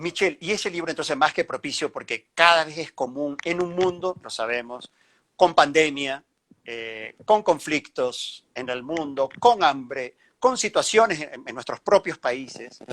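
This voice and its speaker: A plain, everyday voice from a man, fairly high-pitched with lively intonation, fairly slow, with big swings in loudness, dry and close with no echo on a very clean recording over a silent background. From Venezuela. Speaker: journalist and interviewer. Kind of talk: interview.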